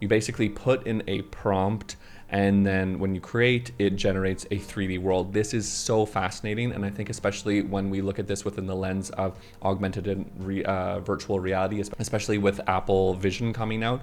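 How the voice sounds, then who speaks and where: Over noticeable background noise, a man with a Canadian accent talks at a fairly quick pace in a fairly low voice with hardly any pauses. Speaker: tech YouTuber. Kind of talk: casual vlog-style news chat. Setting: on camera. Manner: animated.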